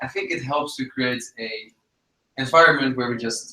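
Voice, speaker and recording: A man's bright, sharp voice at a medium pitch with a Dutch accent, fairly even intonation, and a moderate pace. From Netherlands. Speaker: webinar host. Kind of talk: webinar interview. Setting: live online broadcast.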